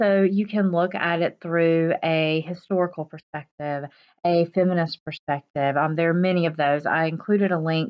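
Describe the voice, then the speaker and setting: A woman speaks at a fairly low pitch. Her pace is moderate and her intonation fairly even. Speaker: college English instructor. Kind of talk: recorded lecture video. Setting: at home, late at night. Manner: quiet, hushed; frequent filler words.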